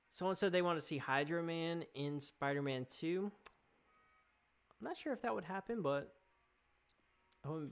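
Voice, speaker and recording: At a moderate pace, a man speaks with long, frequent pauses and ordinary pitch variation. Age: 30s. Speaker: gaming YouTuber. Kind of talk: live stream chat. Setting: live stream. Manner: animated.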